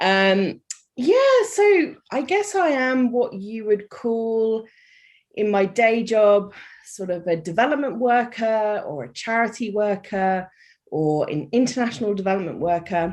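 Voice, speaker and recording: Against a quiet background, a woman with a British accent speaks fairly slowly at a fairly high pitch with lively intonation. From UK. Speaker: life coach and charity worker. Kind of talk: podcast interview.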